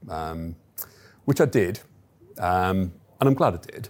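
A man's very deep, low, somewhat breathy voice at a moderate pace, on a very clean recording with a silent background. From Stoke-on-Trent, English Midlands. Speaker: chief executive of a training company. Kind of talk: interview. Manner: hesitant, many fillers.

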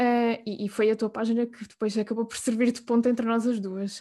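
A woman's fairly high voice with a European Portuguese accent, dark and mellow in tone, fairly even in intonation, at a moderate pace over a quiet background. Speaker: podcast host. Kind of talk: interview.

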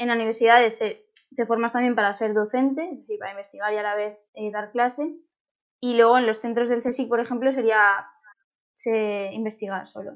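A woman speaks at a moderate pace with a fairly high pitch. Her intonation is fairly even. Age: 20s. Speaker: doctoral researcher in plant science. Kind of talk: interview. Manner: hesitant, many fillers.

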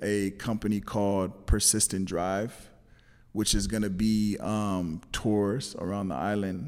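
A man with a Californian accent speaks at a very slow pace. His pitch is fairly low. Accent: Californian American English. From Los Angeles, California. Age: 30s. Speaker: entrepreneur and videographer. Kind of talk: casual interview.

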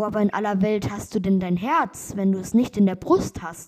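At a fairly slow pace, a woman speaks at a medium pitch in a calm, dark, mellow tone. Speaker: podcast host reading fairy tales. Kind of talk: bedtime story reading aloud of a fairy tale. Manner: calm, slow, storytelling cadence.

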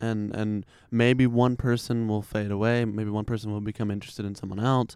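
A man with an American accent, medium pitch, monotone, flat intonation and a fairly quick pace. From Chicago. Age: 20s. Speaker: podcast guest. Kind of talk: casual chat. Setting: at his home.

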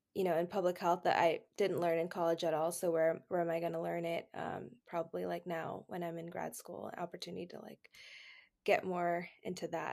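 A woman with an American accent, fairly low in pitch with vocal fry, monotone, flat intonation, big swings in loudness, and a moderate pace, in a very clean recording with a silent background. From Texas. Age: 20s. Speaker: healthcare administration resident. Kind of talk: casual chat.

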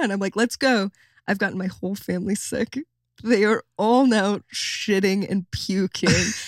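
Recorded very cleanly with a silent background and a dry, close sound with no echo, a woman speaks at medium pitch. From US Midwest, Michigan. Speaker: comedian. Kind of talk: casual chat. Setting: studio. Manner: animated.

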